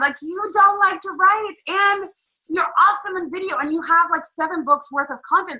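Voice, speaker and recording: A woman speaks in a raised, projected voice. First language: not English. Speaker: business coach. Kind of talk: webinar co-hosted live stream. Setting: live stream in a Facebook group. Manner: animated, conversational.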